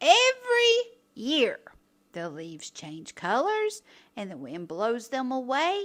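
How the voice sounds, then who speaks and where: A woman uses a put-on character voice at a fairly slow pace. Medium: read story. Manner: calm, patient.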